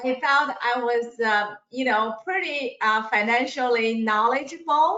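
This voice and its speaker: In a plain, everyday voice, the speaker talks at a fairly slow pace with ordinary pitch variation. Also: woman. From immigrant to the US. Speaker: financial services businesswoman. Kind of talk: webinar self-introduction.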